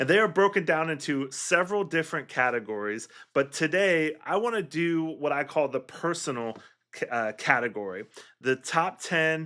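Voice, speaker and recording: On a very clean recording with a silent background, a man with a fairly high pitch and a bright, sharp tone speaks with lively intonation. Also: moderate pace. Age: 40s. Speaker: music teacher and podcast host. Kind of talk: solo teaching podcast monologue. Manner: conversational, with filler words.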